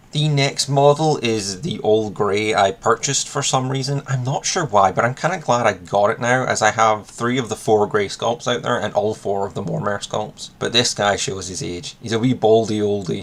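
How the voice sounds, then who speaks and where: Against noticeable background noise, a man with a Scottish accent talks at a medium pitch and a moderate pace, with ordinary pitch variation and hardly any pauses. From Scotland. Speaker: miniatures hobby youtuber. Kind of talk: casual video monologue.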